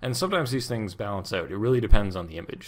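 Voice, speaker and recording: With lively intonation and medium pitch, a man talks in an ordinary speaking voice. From Canada. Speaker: video tutorial host. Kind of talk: tutorial. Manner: casual, joking.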